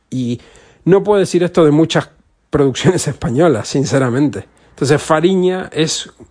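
The man talks fairly slowly, with ordinary variation in his pitch. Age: 40s. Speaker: podcaster. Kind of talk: casual monologue. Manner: halting.

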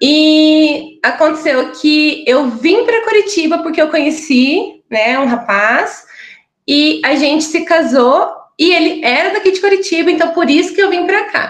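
Lively intonation carries a fairly slow delivery at very even loudness. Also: woman, extremely high pitch for a woman. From Brazil, interior of Paraná. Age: 30s. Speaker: pilates instructor, podcast guest. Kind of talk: personal testimony.

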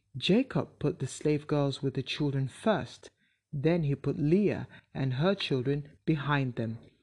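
A woman with a very deep, low pitch speaks at a fairly slow pace, somewhat breathy and dark, mellow in tone, with ordinary pitch variation over a quiet background. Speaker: Bible reader. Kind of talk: bible story narration, read aloud chapter by chapter. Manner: steady, even-paced storyteller; clear, measured, plainly read.

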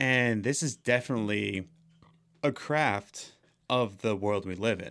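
The speech moves at a fairly slow pace with long, frequent pauses and ordinary pitch variation. The recording is very clean, with a silent background. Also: man, fairly low pitch for a man. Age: 20s. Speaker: podcast host. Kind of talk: casual chat. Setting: studio. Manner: loud.

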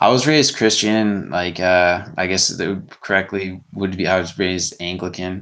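A man with a very deep, low voice talks at a moderate pace, hardly pausing. His pitch varies in an ordinary way against a quiet background. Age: 30s. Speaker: animal rights activist. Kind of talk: casual chat.

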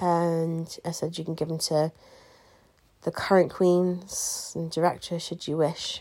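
A woman's fairly low, dark, mellow voice, fairly slow and monotone, on a very clean recording with a silent background. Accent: English. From England. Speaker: podcast host, pageant queen. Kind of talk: casual advice monologue.

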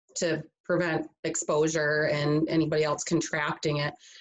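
A woman speaks at a moderate pace with an Upper Midwest accent. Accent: Upper Midwest American. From western Michigan, Grand Rapids area. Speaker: nurse. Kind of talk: interview conversation. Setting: video call.

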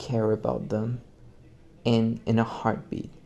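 A man speaks in a flat monotone. Music plays in the background. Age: young. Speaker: podcast host. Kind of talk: solo monologue. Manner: halting.

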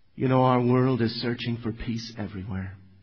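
A man's somewhat breathy voice with audible room echo. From Northern Ireland. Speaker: evangelist preacher. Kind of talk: sermon. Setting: church.

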